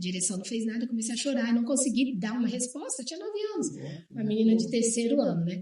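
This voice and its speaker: A woman talks at a fairly quick pace in a normal speaking voice. Her pitch sits fairly high with ordinary variation. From Brazil, Bahia, moved around often. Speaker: guest sharing life story. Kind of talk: testimony in TV talk show.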